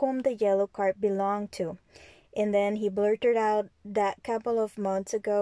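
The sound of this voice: The speaker reads in an unforced reading voice, holding the intonation fairly even.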